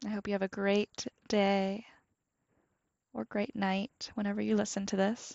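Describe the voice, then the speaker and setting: A woman's calm, soothing tone, monotone and flat, at a fairly slow pace with long, frequent pauses. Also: medium pitch for a woman. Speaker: podcast host. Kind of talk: guided meditation. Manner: slow, calm, soothing, with long pauses; gentle, soft-spoken.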